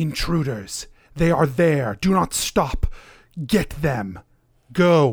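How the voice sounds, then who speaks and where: A man puts on a character voice at a fairly high pitch, with very wide pitch swings. He talks at a very slow pace, broken by long, frequent pauses. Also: very even loudness. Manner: commanding, urgent.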